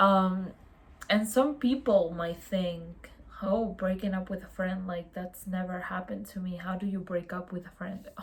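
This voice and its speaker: A woman's fairly low voice with fairly even intonation and a non-native accent. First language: not English. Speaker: youtuber on mental health. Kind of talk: casual vlog monologue. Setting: home, in pajamas at night. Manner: casual, hesitant with fillers.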